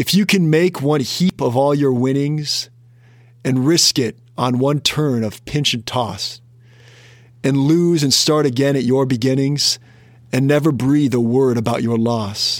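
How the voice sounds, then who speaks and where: A man's fairly slow, fairly high-pitched speech in an American accent, with ordinary pitch variation. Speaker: financial planner and podcast host. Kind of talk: solo podcast reading a classic poem aloud, then offering commentary. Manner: hesitant, filler-laden in unscripted commentary.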